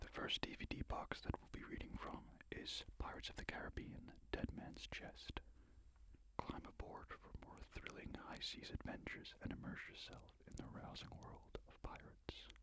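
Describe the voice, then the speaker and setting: A man whispers at a moderate pace, his loudness swinging widely. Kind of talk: ASMR reading for sleep. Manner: soft-spoken, calming.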